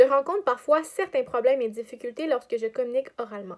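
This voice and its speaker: A woman with a high pitch speaks at a fairly quick pace, her intonation lively. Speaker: student teacher. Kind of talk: scripted narration. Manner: fast.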